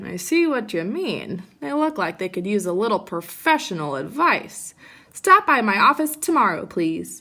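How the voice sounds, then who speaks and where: Putting on a character voice, a woman speaks at medium pitch and a moderate pace. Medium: read story.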